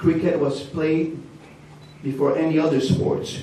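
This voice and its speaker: There's audible echo in the room and noticeable background noise as a man talks fairly slowly. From Hungary. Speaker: shop owner and sponsor. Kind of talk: speech at an event. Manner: animated.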